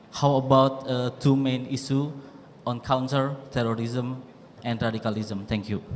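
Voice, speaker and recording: With audible room echo, a man speaks at a moderate pace with fairly even intonation. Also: medium pitch for a man. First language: Indonesian. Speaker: lecturer asking a question. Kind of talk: audience question at lecture. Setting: university lecture hall. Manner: halting, many fillers.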